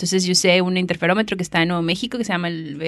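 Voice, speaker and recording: Over a quiet background, a woman with a Mexican accent speaks at a fairly low pitch. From northern Mexico, Monterrey. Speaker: astronomer. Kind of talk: casual chat. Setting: university library.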